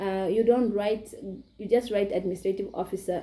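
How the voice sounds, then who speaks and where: Speaking with a non-native accent, a woman has a dark, mellow tone, medium pitch and ordinary pitch variation. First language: not English. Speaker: YouTuber. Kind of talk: tutorial. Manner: halting.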